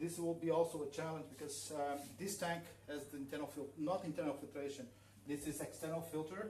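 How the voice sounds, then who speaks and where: Amid noticeable background noise and audible room echo, a man speaks in a fairly high voice with fairly even intonation. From northern Portugal. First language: Portuguese. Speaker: aquascaper giving a workshop. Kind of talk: live demonstration workshop. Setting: live stream in showroom. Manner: halting, many fillers. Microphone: too quiet.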